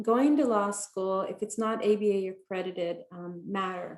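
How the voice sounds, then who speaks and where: A woman speaks with a Spanish accent. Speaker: attorney, law school alum. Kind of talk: panel talk.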